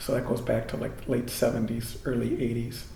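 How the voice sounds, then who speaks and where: A voice with an American accent comes through with audible room echo. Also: man. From Michigan, US Midwest (Jackson). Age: 60s. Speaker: Jesuit priest. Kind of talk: oral history interview. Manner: hesitant, many fillers.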